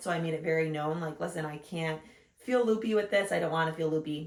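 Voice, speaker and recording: A woman speaks at a fairly quick pace. Her pitch sits fairly low. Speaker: vlogger, new mother. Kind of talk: casual chat. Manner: loud.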